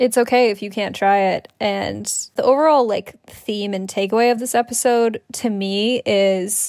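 This woman has an ordinary speaking voice at a medium pitch. Her intonation stays fairly even. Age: 20s. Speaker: podcast co-host. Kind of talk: casual chat.

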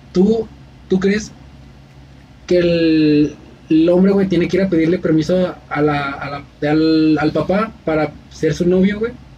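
With noticeable background noise, a man talks at a very slow pace in a high pitch, leaving long, frequent pauses. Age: 20s. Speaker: podcast host. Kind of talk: casual chat. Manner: animated.

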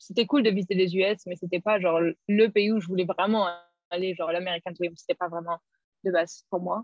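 Her voice is a medium-pitched monotone, and the woman speaks at a fairly quick pace. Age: 20s. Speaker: former au pair. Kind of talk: interview.

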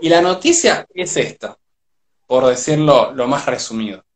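A man talks with an Argentine accent. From Argentina. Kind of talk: casual chat. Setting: live video stream.

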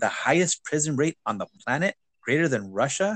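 A man with an American accent and fairly high pitch, dry and close with no echo against a quiet background. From US, grew up poor in an urban neighborhood. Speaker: podcast host. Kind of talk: casual conversation.

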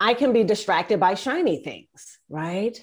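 A woman's fairly slow, lively-intoned speech in a very clean recording with a silent background. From US East Coast. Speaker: business leadership coach. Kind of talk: casual interview.

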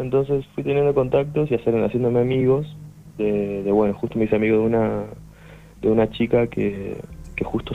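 An unremarkable speaking voice from a man, fairly low in pitch, with fairly even intonation and a moderate pace. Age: 20s. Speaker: musician. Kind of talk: interview.

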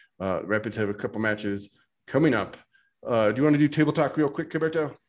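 A man with a plain, everyday voice speaks at a fairly quick pace in a medium pitch. His pitch varies in an ordinary way on a very clean recording with a silent background. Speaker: soccer podcast host. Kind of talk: casual banter podcast. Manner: joking, humorous.

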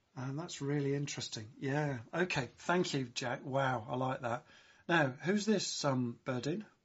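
Speech unfolds at a fairly slow pace. It carries a British accent. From UK. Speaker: livestream host. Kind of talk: live-streamed show hosting, upbeat chat. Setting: live video stream. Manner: animated, enthusiastic.

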